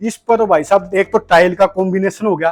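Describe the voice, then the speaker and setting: Over a dry, close sound with no echo, a man talks at a moderate pace. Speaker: real estate video host. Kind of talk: home tour walkthrough. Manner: animated.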